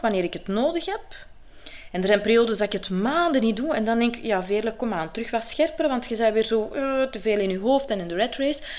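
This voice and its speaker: A woman with an unremarkable speaking voice speaks at a fairly high pitch with lively intonation. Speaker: actress and coach. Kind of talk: interview. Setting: at her home.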